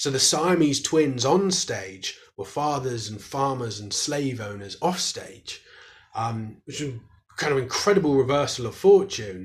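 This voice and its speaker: Somewhat breathy and in a British accent, the speech moves at a fairly slow pace with lively intonation and big swings in loudness. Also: man, fairly high pitch for a man. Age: 30s. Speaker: historian and author. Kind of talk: interview.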